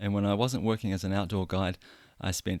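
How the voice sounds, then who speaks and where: A New Zealand accent on a very clean recording with a silent background. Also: man. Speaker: podcast host. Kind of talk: personal story monologue. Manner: conversational, some hesitations.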